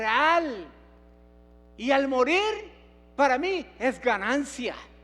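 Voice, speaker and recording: Over audible room echo, a man talks at a very slow pace with lively intonation. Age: 70s. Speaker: pastor. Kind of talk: sermon.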